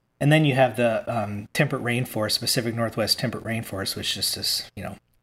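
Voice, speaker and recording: A man with an American accent speaks at a medium pitch. He has an ordinary speaking voice with fairly even intonation. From Virginia, US. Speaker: author and educator. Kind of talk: interview.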